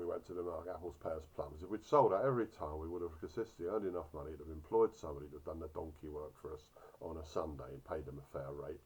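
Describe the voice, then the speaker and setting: A somewhat breathy man talking at a very fast pace. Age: 60s. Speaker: orchard grower; doctor. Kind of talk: casual talk to camera.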